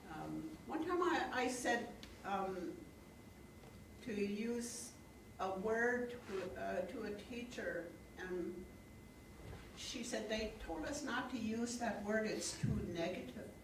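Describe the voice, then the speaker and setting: A woman with a fairly high pitch and lively intonation, at a very slow pace with long, frequent pauses, amid noticeable background noise and audible room echo. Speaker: Alaska Native elder, opening speaker. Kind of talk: public welcoming speech. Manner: halting, many fillers.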